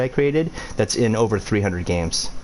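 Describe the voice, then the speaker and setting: A man speaks at a very fast pace with a fairly low pitch. Noticeable background noise runs underneath. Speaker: game creator streaming a tutorial. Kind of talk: casual livestream tutorial. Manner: animated.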